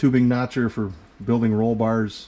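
At a moderate pace, a man with a fairly low pitch and a dark, mellow tone speaks with fairly even intonation. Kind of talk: casual tour commentary. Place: garage. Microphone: phone near.

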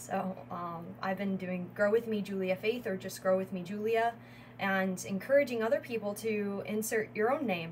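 Over light background noise, a woman with an American accent speaks at a fairly slow pace. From Northwest Indiana, US Midwest. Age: 20s. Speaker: wellness entrepreneur and YouTuber; YouTuber. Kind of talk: channel introduction monologue. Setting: solo video recording. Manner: halting with frequent fillers. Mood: warm, encouraging. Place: home room. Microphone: webcam.

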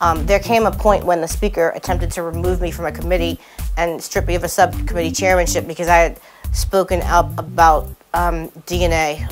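Clear music plays in the background as a woman speaks at a fairly quick pace. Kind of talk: interview answer. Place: studio. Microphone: lapel.

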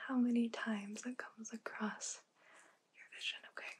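A woman speaks softly with a high voice. Her pace is moderate. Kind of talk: soft-spoken roleplay instructions. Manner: soft-spoken ASMR examiner voice.

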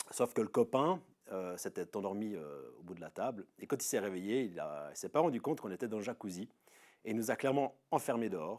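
a man with lively intonation at a fairly quick pace, quiet background. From Switzerland, Veveyse district, canton of Fribourg; Fribourg, Switzerland. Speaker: local resident; interviewee. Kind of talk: casual personal testimony. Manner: hesitant, many filler sounds. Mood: relaxed, telling anecdote. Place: open country. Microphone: lapel.

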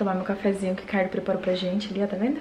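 There is light background noise as a woman speaks. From Brazil. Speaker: vlogger, mother of twins; vlogger. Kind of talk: casual home vlog. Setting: at home. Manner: animated. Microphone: phone near.

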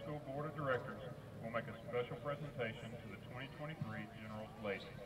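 There is noticeable background noise. Through it, a man talks with fairly even intonation. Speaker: school event announcer. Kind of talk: formal PA announcement, reading. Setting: stadium PA system. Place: stadium. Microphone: pa.

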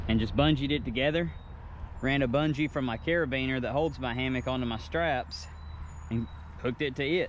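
A man's voice with ordinary pitch variation, dry sound with no echo and light background noise. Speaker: outdoor gear vlogger. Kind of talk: tutorial. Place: forest.

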